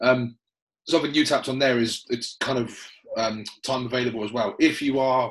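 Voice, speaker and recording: Here a man talks with a southern English accent. His pitch is medium and his intonation fairly even. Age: 30s. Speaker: personal trainer and podcast host. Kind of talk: casual chat.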